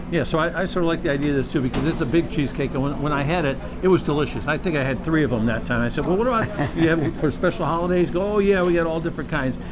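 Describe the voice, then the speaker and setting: A man talks very fast at a fairly high pitch with hardly any pauses and ordinary pitch variation. The recording has audible room echo and noticeable background noise. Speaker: TV show reporter. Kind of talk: TV interview. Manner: animated.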